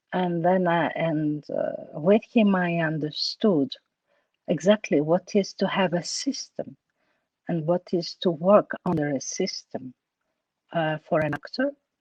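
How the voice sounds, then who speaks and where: A woman's fairly low voice in a Greek accent, fairly slow, with ordinary pitch variation. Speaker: actress. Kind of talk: interview. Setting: online talk. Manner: halting, many fillers.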